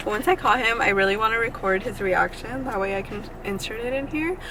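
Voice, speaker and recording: The pitch moves in an ordinary way, and there is noticeable noise in the background. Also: woman. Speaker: vlogger. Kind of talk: casual chat. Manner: stumbling.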